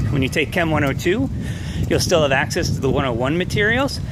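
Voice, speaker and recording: A very fast-talking man with an American accent, amid noticeable background noise and audible room echo. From New York. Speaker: chemistry professor. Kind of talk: walking video welcome message to students. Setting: outdoors walking on campus.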